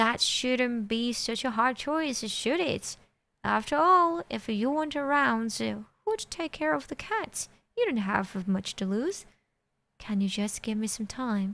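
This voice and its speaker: Using a put-on character voice, a woman talks at a fairly slow pace with a fairly high pitch. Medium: read story. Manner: teasing, flippant.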